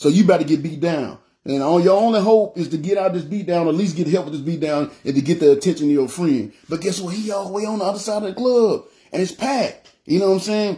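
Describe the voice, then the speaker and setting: Loud and very fast, a man speaks in a dark, mellow tone at a high pitch with ordinary pitch variation. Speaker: preacher. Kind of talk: sermon. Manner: halting, repetitive.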